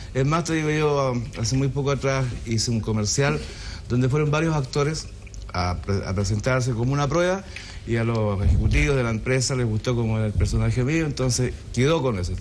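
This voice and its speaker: Amid noticeable background noise and audible room echo, a man talks at a fairly quick pace, with a medium pitch, lively intonation and very even loudness. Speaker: comic actor. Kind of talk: casual chat. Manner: stutters as a comic trait.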